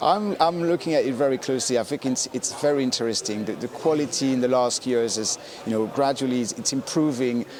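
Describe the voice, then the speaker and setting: Over noticeable background noise, a man of medium pitch talks at a fairly quick pace with ordinary pitch variation and hardly any pauses. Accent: French. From France. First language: French. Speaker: wine specialist. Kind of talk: casual chat. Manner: halting.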